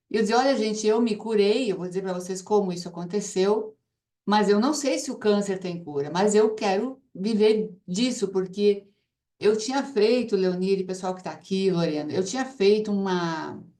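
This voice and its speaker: A woman with a dark, mellow tone speaks at medium pitch and a moderate pace, her pitch varying in an ordinary way. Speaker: ozone therapy promoter and cancer survivor. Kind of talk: testimony.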